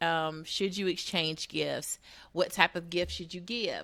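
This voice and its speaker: On a very clean recording with a silent background and a dry, close sound with no echo, a woman speaks with an American accent at a very slow pace. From US Pacific Northwest, Seattle. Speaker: radio show host and matchmaker. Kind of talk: casual radio talk show. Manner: frequent filler words, um.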